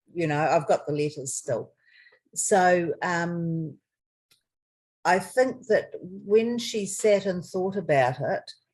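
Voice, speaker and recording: A woman's somewhat breathy, fairly low voice at a very slow pace, with ordinary pitch variation. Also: long, frequent pauses. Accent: New Zealand. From New Zealand. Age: 60s. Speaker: adoptee. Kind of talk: interview answer.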